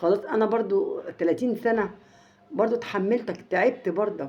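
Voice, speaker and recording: A woman with an Egyptian accent speaks with lively intonation over noticeable background noise. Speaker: family vlogger. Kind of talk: casual storytelling to viewers. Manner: halting, many repetitions; raised volume slightly.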